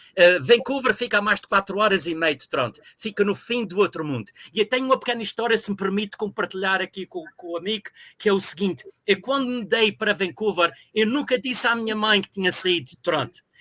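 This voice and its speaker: This man's high, bright, sharp voice is raised and projected at a very fast pace, with ordinary pitch variation. His loudness swings widely, and the sound is dry and close with no echo. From Azores, Ribeira Grande (São Miguel). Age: 60s. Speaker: university professor. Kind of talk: interview. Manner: hesitant with fillers.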